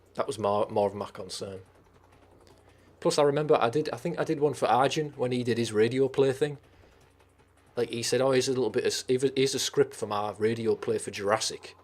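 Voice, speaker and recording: With a Teesside accent, a man speaks at a fairly quick pace and a medium pitch, his pitch varying ordinarily and his speech broken by long, frequent pauses. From northern England, Teesside. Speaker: streamer. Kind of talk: casual chat. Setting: live stream.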